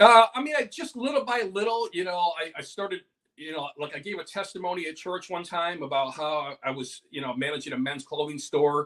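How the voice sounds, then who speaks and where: A man talks at a fairly quick pace with hardly any pauses, his pitch high and his intonation lively. His tone comes across bright and sharp. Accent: American. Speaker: stand-up comedian. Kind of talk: casual interview chat. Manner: animated.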